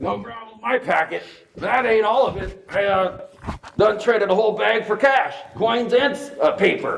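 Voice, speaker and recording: Putting on a drawling, high-pitched character voice, a man talks at a moderate pace with a slight echo. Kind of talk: comic community-stage western. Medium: stage play. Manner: folksy frontier drawl, dialect phrases.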